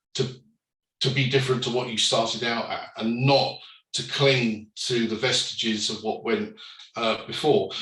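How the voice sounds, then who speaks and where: With audible room echo, a man speaks in a bright, sharp tone at a moderate pace, with ordinary pitch variation. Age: 60s. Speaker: company director, panellist. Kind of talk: panel discussion. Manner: hesitant, many fillers.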